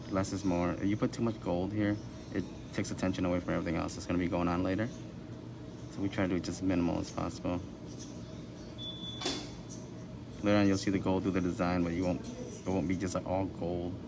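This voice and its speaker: Noticeable background noise runs through the clip. A man rattles along at a very fast pace. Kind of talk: tutorial. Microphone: camera far.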